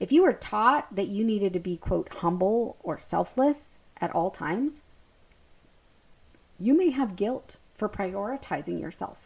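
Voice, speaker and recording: A woman speaks loudly and in an animated tone at a medium pitch, her pitch swinging very widely. Her pace is fairly slow, with long, frequent pauses. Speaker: podcast host, hypnotherapist and breathwork coach. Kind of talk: spiritual self-help podcast monologue.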